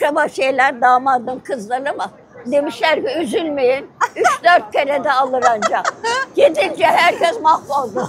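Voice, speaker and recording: A woman speaks fairly slowly in a high voice with lively intonation. The sound is dry with no echo, and crowd noise can be heard behind her. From Istanbul, Turkey. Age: 80s+. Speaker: interviewee. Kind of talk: interview answer. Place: street. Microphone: lapel.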